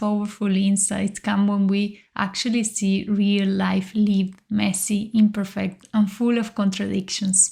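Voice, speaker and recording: A woman speaks at a fairly slow pace in a Spanish accent, her tone calm and somewhat breathy. Her intonation is monotone and flat, and the recording is very clean with a silent background. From Uruguay. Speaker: leadership coach, podcast host. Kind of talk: podcast monologue, coaching talk.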